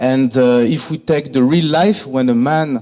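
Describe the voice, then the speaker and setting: A man speaks with a French accent. His intonation is lively. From France, Greek heritage. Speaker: hospitality industry executive. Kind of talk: conference presentation. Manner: hesitant, many fillers.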